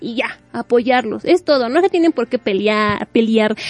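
A woman with a Mexican accent speaks at a moderate pace in a high pitch, her tone animated and her intonation lively, with a dry, close sound with no echo over noticeable background noise. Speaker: radio host. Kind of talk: casual chat.

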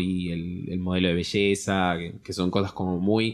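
This man has a Rioplatense accent and a fairly low pitch. He talks at a moderate pace. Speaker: podcast co-host. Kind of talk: casual chat.

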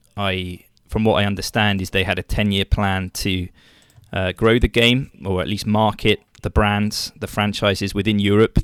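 At a moderate pace, a man with an English accent talks in a fairly low pitch with monotone, flat intonation, his voice dry and close with no echo on a very clean recording with a silent background. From England. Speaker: baseball social media personality. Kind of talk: interview.

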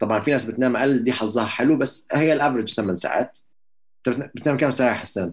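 This man has a plain, everyday voice. He speaks at a moderate pace. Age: young. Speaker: engineer and event MC. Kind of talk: casual chat.

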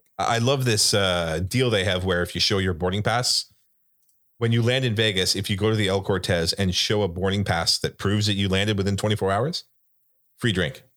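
A man with an unremarkable speaking voice talks at a fairly quick pace, his intonation fairly even and his loudness very even. The recording is very clean, with a silent background. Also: fairly low pitch for a man. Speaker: podcast co-host. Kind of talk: casual chat.

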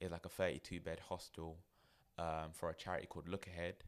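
A man with a London accent delivers a very deep, low voice at a very fast pace in a monotone, flat intonation, in a very clean recording with a silent background. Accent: London English (multicultural London). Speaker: therapist and managing director of a mental health organisation. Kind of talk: casual chat.

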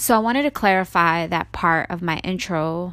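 A woman speaks with a fairly low pitch and a bright, sharp tone. The recording is very clean, with a silent background. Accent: American. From New York City. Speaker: podcast host. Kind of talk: solo podcast monologue.

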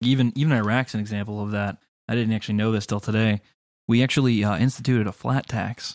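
Speaking at a very fast pace, a man with a medium pitch keeps his intonation fairly even in a dry, close sound with no echo. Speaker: podcast co-host. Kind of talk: casual political discussion.

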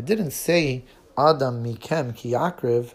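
A man speaks with an Israeli accent and lively intonation. His voice is somewhat breathy, at a medium pitch. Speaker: teacher of a children's Torah class. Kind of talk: children's Torah lesson podcast.

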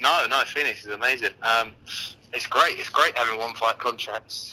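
A man talks with a London accent. His pace is moderate. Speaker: MMA fighter. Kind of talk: interview. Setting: online call, at a train station.

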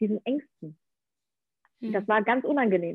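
This is a woman's voice at medium pitch. She talks at a moderate pace. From Ukraine-born, grew up in Germany. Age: 30s. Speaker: actress and podcaster. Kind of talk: interview. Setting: remote call from Bali to Berlin. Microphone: poor connection, sound not always optimal.

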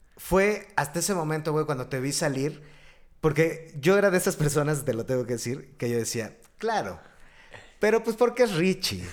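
Here a man talks at a moderate pace, his fairly high pitch swinging very widely. The recording is very clean with a silent background. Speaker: podcast host. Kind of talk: casual chat.

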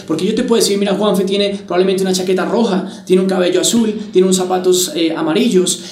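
Speaking very fast in a high voice, a man is heard with audible room echo and noticeable background noise. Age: 20s. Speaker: motivational speaker and network marketer. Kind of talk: motivational talk.

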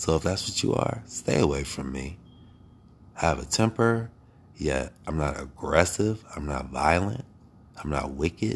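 In an American accent, a man speaks with a very deep, low pitch and vocal fry. His intonation is lively, broken by long, frequent pauses. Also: fairly slow pace. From Ohio, US Midwest. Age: 40s. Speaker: podcaster. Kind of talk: solo spiritual monologue. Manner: halting.

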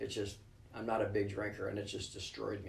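Monotone, flat speech with an American accent, with audible room echo and noticeable background noise. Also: man. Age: 50s. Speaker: ER doctor and ultramarathon runner. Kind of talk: interview.

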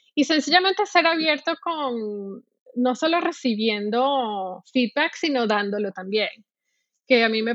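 Speaking at a fairly slow pace, a woman uses lively intonation and a fairly high pitch. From Venezuela, Caracas. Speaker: UX designer and art director. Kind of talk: interview. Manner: halting, many repetitions and fillers.

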